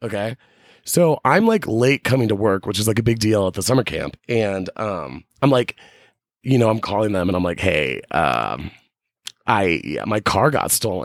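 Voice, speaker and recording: A man with a fairly low pitch and vocal fry speaks at a moderate pace with lively intonation. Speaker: podcast co-host. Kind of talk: casual chat. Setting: storage closet in a winery.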